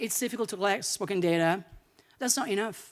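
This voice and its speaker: Heard on a very clean recording with a silent background, a woman with an Italian accent speaks with lively intonation. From Italy. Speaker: linguistics academic, keynote speaker. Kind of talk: lecture.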